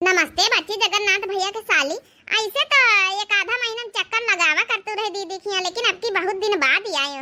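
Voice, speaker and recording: In a cartoonish character voice, a woman speaks at a fairly quick pace with an extremely high pitch. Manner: measured, advising.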